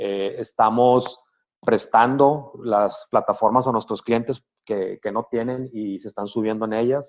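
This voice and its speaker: This man's voice sits at a medium pitch. He talks at a fairly slow pace with fairly even intonation. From Sonora, northern Mexico. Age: 50s. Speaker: architect and business owner. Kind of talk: interview. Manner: halting, frequent fillers.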